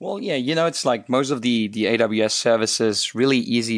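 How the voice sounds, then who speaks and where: A man talks at a very fast pace with a Luxembourgish accent. His pitch is medium, and the background is quiet. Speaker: co-host of a tech podcast. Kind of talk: casual explanation of tech news. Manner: enthusiastic, explanatory.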